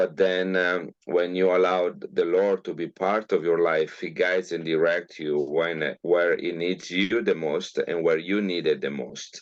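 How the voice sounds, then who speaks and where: The speaker talks in an Italian accent at a fairly slow pace. The intonation is monotone and flat. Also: man. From northern Italy, Milan. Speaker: geneticist. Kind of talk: interview. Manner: halting, many fillers.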